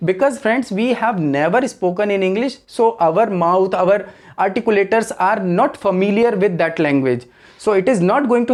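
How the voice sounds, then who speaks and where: In an Indian accent, a man speaks at a high pitch with ordinary pitch variation against a quiet background. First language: Hindi. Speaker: English teacher. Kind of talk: tutorial.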